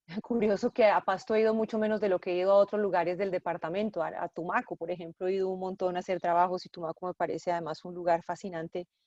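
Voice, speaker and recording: A woman talks at a very fast pace with hardly any pauses, her medium-pitched voice fairly even in intonation and the sound dry and close with no echo. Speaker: journalist and bookshop owner. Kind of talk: interview.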